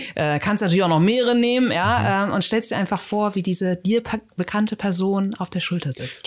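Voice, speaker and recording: At a fairly quick pace, a woman of medium pitch talks with ordinary pitch variation in a plain, everyday voice. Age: 40s. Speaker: memory trainer and coach. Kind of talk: interview. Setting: studio.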